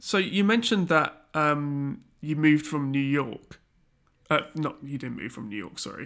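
A man speaks in a plain, everyday voice with a fairly high pitch at a moderate pace. His intonation is lively, with big swings in loudness. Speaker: podcast host. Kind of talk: casual interview chat. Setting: remote call.

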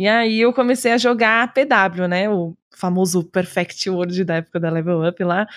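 Set against a quiet background, a woman talks at a fairly slow pace with hardly any pauses, at medium pitch. Hers is an unremarkable speaking voice with ordinary pitch variation. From Rio Grande do Sul, Brazil (Osório). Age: 20s. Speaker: streamer. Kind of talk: casual chat.

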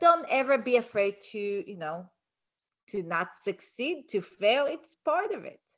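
Speaking at a fairly slow pace with a non-native accent, a woman uses a fairly high pitch, very wide pitch swings and big swings in loudness. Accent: foreign-accented English. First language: not English. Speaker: colon-health practitioner and author. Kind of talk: casual chat.

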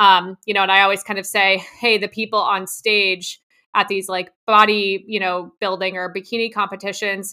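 A woman speaks with an American accent at a moderate pace. Her tone is bright and sharp. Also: very clean recording, silent background. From New Jersey. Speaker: dietitian. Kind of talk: interview.

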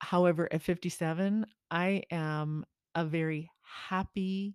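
The speaker moves at a very slow pace with ordinary pitch variation. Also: woman. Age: 50s. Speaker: podcast co-host. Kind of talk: casual chat.

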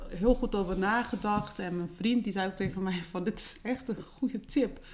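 At a moderate pace, a woman talks in an ordinary speaking voice, fairly high in pitch, with ordinary pitch variation. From Netherlands. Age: 40s. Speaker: home care business owner. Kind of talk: interview.

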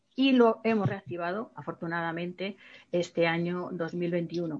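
A medium pitch marks this woman's voice. It varies in an ordinary way. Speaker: association president. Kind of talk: welcome speech. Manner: halting.

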